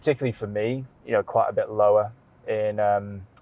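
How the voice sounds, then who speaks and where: His accent is British. The man talks at a moderate pace. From United Kingdom. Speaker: renewable energy recruiter. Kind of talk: podcast interview answer.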